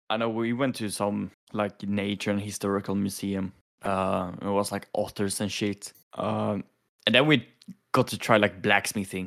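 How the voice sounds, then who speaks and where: A man with a Swedish accent, fairly low in pitch, at a moderate pace with fairly even intonation, on a very clean recording with a silent background. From Sweden. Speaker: podcast co-host. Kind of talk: casual chat. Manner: laughs often.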